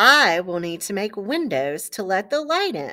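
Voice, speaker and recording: A woman uses a put-on character voice at medium pitch and a moderate pace, with very wide pitch swings. The recording is very clean, with a silent background. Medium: read story.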